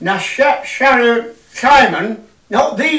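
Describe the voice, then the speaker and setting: With noticeable background noise behind him, a man speaks with a Yorkshire accent. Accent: broad Yorkshire. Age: 80s+. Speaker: comedian. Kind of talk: stand-up.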